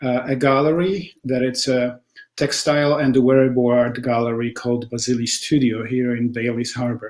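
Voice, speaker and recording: A man with a Polish accent speaks at a moderate pace. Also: medium pitch for a man. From Poland. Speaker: textile artist. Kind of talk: interview testimony. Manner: halting with many fillers.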